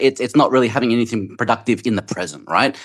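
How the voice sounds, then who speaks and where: A very fast talker with an Australian accent, captured in a very clean recording against a silent background. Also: man. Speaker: audience member. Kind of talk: heated debate. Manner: hesitant, filler-heavy.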